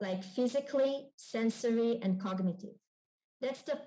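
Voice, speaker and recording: A woman's dark, mellow tone at a fairly high pitch, with ordinary pitch variation. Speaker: member of parliament. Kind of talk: panel presentation.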